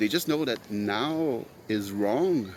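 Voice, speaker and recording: With a Quebec accent, a man speaks at a medium pitch with ordinary pitch variation. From Quebec, Montreal. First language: French. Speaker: podcast host. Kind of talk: solo monologue. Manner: halting, many fillers.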